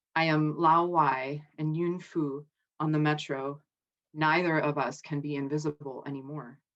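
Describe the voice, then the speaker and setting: Over music, a woman speaks with a very deep, low pitch. Her delivery is a flat monotone at a fairly slow pace. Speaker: poet. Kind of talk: poetry reading.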